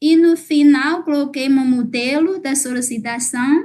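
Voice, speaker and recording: At a fairly slow pace, a woman talks in a high pitch. Her pitch variation is ordinary. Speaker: lecturer. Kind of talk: lecture. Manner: halting.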